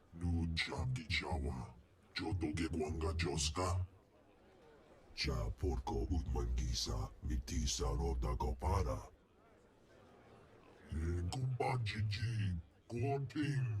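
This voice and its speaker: Using a put-on character voice, a man talks at a fairly slow pace with very wide pitch swings and long, frequent pauses. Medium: video game. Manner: imperious, rumbling alien speech.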